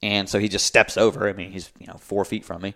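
A man speaks with an American accent. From US South, North Carolina (Raleigh). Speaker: adaptive athlete. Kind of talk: interview. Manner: animated.

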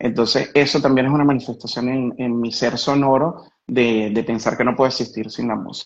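A man speaks with a Caracas accent. His pace is fairly quick. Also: medium pitch for a man, fairly even intonation. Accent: Venezuelan Spanish (Caracas). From Venezuela, Caracas. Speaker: musician and sound artist. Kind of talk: live-stream interview.

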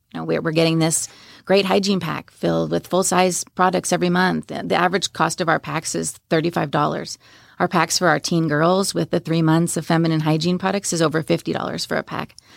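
A woman with vocal fry talks at a moderate pace in a fairly low, flat monotone over a very clean recording with a silent background. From New York, Long Island. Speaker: nonprofit founder. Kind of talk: interview.

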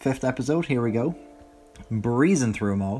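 In an Irish accent, a man speaks in a relaxed tone at a medium pitch. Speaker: podcast host. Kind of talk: casual solo commentary. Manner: relaxed, many fillers.

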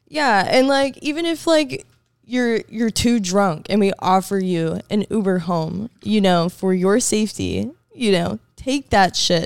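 In a normal speaking voice, a woman talks at medium pitch and a fairly slow pace, her intonation lively. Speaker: guest, friend of host. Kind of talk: casual chat.

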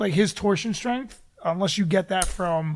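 A man talks at a moderate pace. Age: 40s. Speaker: MMA fighter and podcast co-host. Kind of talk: casual chat.

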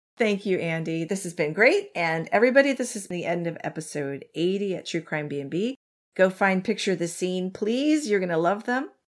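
An ordinary speaking voice at a moderate pace on a very clean recording with a silent background. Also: woman, medium pitch for a woman, lively intonation. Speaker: true crime podcast host. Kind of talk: casual chat and true crime storytelling.

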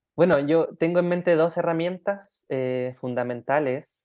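A man talks at a fairly slow pace in an ordinary speaking voice, with ordinary pitch variation. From Chile. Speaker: life design coach. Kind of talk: interview conversation.

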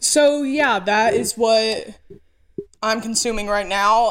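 A woman with an American accent, a fairly high pitch and ordinary pitch variation. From rural north Georgia, US South. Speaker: podcast co-host. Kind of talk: casual chat. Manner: animated storyteller.

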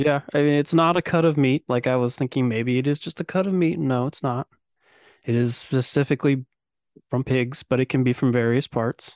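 Against a quiet background, a man with an ordinary speaking voice talks fairly quickly at a medium pitch with fairly even intonation. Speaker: podcast host. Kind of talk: casual chat. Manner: joking, sarcastic.

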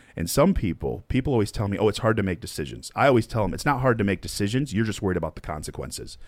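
Talking very fast with hardly any pauses, a man uses lively intonation and a fairly low pitch touched with vocal fry. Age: 30s. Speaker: podcast host. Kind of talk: casual interview.

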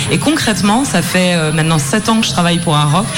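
With music in the background, a woman speaks at a fairly quick pace in a medium pitch with ordinary pitch variation. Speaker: festival programmer. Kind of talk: interview in live radio. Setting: live studio. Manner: enthusiastic, excited.

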